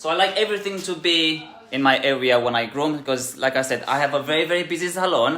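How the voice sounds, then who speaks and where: Against noticeable background noise, a man talks very fast in a fairly high voice with ordinary pitch variation. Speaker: dog groomer and salon owner. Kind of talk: tutorial. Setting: grooming salon. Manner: hesitant, many fillers.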